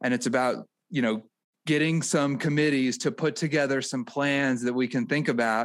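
A man with a fairly high pitch speaks in an unremarkable speaking voice, at a moderate pace with ordinary pitch variation. His loudness stays very even on a very clean recording with a silent background. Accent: American. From rural Missouri near St. Louis. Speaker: political podcast co-host. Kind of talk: casual political chat.

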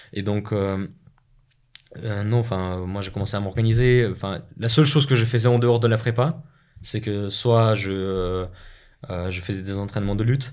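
A man with a Russian accent speaks at a fairly low pitch and a moderate pace. His pitch varies in an ordinary way, and he leaves long, frequent pauses. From Russia (Moscow, Chechen family). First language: Russian (speaking French). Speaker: business school student. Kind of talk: interview.

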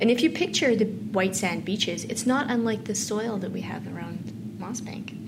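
With a Canadian Prairies accent, a woman with a fairly high pitch speaks in big swings of loudness amid noticeable background noise and audible room echo. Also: ordinary pitch variation, moderate pace. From Saskatchewan, Canada. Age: 40s. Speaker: farm advocacy organization leader. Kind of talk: interview conversation.

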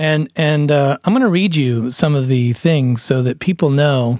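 A normal speaking voice comes at a fairly slow pace, with dry, close sound and no echo. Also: man. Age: 40s. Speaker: musician and podcast co-host. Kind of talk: casual chat.

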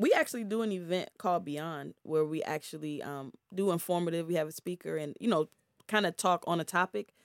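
A woman with an American accent and a normal speaking voice talks at a fairly quick pace, fairly low in pitch with ordinary pitch variation. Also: dry, close sound with no echo. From Prince George's County, Maryland. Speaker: investor and music label owner. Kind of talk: casual interview. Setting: studio.

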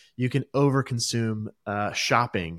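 An ordinary speaking voice moves along at a moderate pace. The recording is very clean with a silent background, and the sound is dry and close with no echo. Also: man. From USA. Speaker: podcast host. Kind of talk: casual interview; show outro.

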